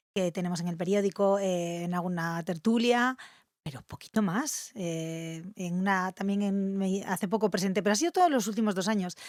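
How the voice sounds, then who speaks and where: Her medium-pitched voice, a woman's, moves at a moderate pace with ordinary pitch variation. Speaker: journalist. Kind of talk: casual interview.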